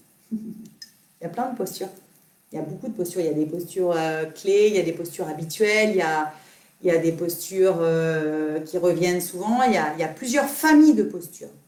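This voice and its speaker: A woman speaks at a fairly quick pace and a fairly low pitch, with ordinary pitch variation. Audible room echo is present. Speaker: yoga teacher. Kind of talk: live Q&A stream. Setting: live video stream. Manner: not soft-spoken; halting, many fillers.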